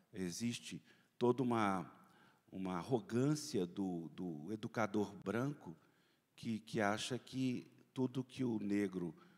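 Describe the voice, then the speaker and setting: On a very clean recording with a silent background, a man with a fairly low pitch speaks at a very slow pace, using lively intonation and long, frequent pauses. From Brazil, Belo Horizonte (Minas Gerais). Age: 60s. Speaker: journalist and panel moderator. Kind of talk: conference opening remarks. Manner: halting, many fillers.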